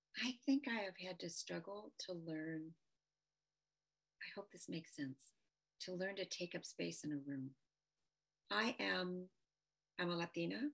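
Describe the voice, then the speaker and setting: Soft-spoken and with an American accent, a woman talks at a fairly slow pace in a fairly low pitch, her intonation lively and her pauses long and frequent. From US Midwest, Detroit. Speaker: policy advisor. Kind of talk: interview. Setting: video call.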